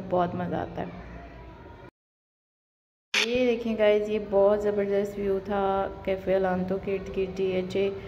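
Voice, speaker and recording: Noticeable background noise sits behind a woman who speaks at a very slow pace with long, frequent pauses. Her intonation stays monotone and flat. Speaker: vlogger. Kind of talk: casual vlog chat. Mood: cheerful, relaxed. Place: street. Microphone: phone near.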